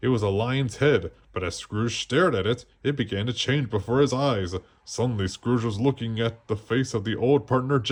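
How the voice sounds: Heard here is a natural reading voice whose pitch varies in an ordinary way.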